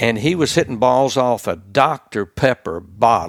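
On a very clean recording with a silent background, a man with a Mississippi accent talks at a fairly slow pace. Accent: US Southern (Mississippi). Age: old. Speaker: retired sportscaster. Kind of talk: casual interview chat.

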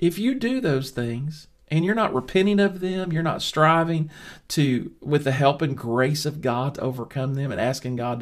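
In a very clean recording with a silent background, a man with a fairly high pitch talks at a moderate pace in an animated tone with ordinary pitch variation. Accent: Southern US. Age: 50s. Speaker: Bible teacher. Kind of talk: Bible study lesson.

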